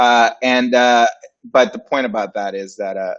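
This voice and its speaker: With a Spanish accent, a man speaks at a moderate pace with fairly even intonation. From Puerto Rico / Dominican Republic. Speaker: graphic designer and agency founder. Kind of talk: casual interview. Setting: livestream.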